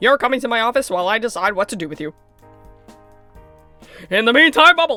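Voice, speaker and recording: In a put-on character voice pitched extremely high, a man rattles along at a very fast pace over faint music in the background. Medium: game stream. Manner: commanding.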